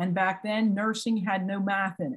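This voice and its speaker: The woman has a medium pitch and a somewhat breathy voice. Her intonation stays fairly even. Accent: American. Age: 60s. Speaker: retired psychiatric nurse and trainer. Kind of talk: personal testimony in a training webinar. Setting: online webinar.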